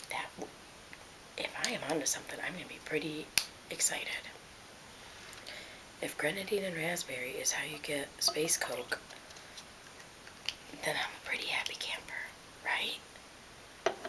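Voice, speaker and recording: Whispering, a woman leaves long, frequent pauses over noticeable background noise. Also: moderate pace. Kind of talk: casual talk to camera, ASMR mukbang ramble. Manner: soft-spoken.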